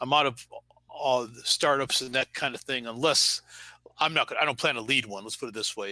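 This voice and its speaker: Here a man with an American accent speaks at medium pitch and a fairly quick pace. His tone is bright and sharp, and the sound is dry and close with no echo. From Detroit, Michigan, US. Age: 60s. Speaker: ethical hacker and author. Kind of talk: interview. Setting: live stream.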